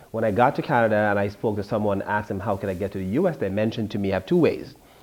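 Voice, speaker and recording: Very fast speech in a strong Jamaican accent, with ordinary pitch variation. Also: man, fairly low pitch for a man. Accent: thick Jamaican. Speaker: author. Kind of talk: interview.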